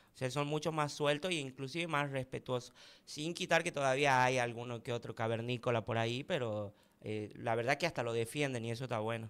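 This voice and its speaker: This man has a medium pitch with ordinary pitch variation and talks at a fairly quick pace. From Tucumán interior, Argentina (Famaillá); Tucumán, Argentina. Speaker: content creator. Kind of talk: casual talk show interview. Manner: animated. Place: studio. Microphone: studio mic.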